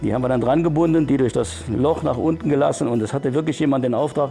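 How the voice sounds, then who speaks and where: Over music in the background, a man talks at a fairly quick pace with a fairly high pitch. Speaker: retired miner, surveyor. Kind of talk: interview answer.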